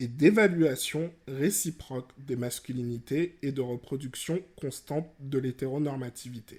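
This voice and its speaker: A man speaks very slowly in a fairly high, somewhat breathy voice with ordinary pitch variation. The recording is very clean, with a silent background. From Guadeloupe, rural. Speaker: podcast host. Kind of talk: educational podcast monologue.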